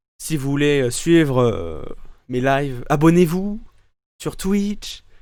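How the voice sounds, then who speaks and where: This is a man speaking. His pace is very slow. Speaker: streamer. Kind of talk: live gameplay commentary. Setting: live stream. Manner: loud; halting, many repetitions.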